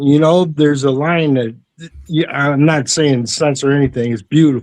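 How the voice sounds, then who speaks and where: With a plain, everyday voice, a man speaks at a moderate pace and a fairly high pitch, using ordinary pitch variation. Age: 60s. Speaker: retired music teacher, amateur artist. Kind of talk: casual chat.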